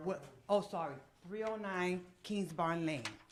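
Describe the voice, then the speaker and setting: There's audible room echo as a woman speaks at a fairly slow pace with ordinary pitch variation. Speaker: resident speaking at public meeting. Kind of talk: public comment at council meeting. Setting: council meeting with microphone. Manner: loud.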